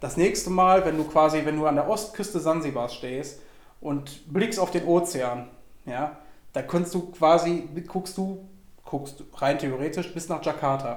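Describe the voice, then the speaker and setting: A man with a fairly high pitch talks at a fairly slow pace, with audible room echo. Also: ordinary pitch variation. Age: 20s. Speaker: podcast guest. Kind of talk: casual chat. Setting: recorded in a cigar shop.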